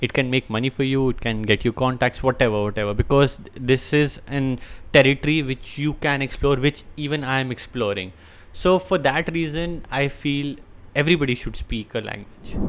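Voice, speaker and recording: A man at medium pitch speaks with an Indian accent at a moderate pace, using ordinary pitch variation. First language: Hindi. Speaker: language teacher. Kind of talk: unscripted talk to camera.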